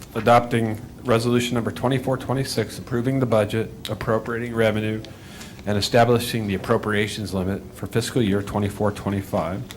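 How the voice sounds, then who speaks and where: Fairly quick and fairly even in intonation, a man talks at a medium pitch. Noticeable background noise is present. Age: 60s. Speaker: city finance director. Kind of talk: formal budget presentation.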